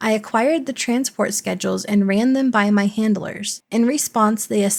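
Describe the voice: Someone is doing plain reading aloud.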